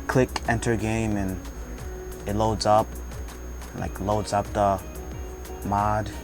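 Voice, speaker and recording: Over music in the background, a man with a fairly low pitch speaks with very wide pitch swings. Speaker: gaming tutorial maker. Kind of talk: casual screen-recording tutorial. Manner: slight stuttering.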